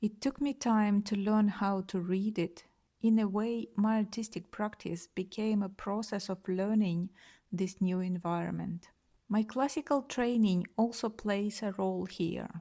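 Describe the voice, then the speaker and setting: Somewhat breathy and dark, mellow in tone, a woman speaks at a medium pitch and fairly slow pace with fairly even intonation on a very clean recording with a silent background. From Ukraine, Kyiv. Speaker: artist. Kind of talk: interview answers, prepared statement.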